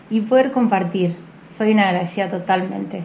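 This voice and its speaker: A woman's voice with fairly even intonation. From Mendoza, Argentina (General Alvear). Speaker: athlete. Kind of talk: interview. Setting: outdoors at race venue.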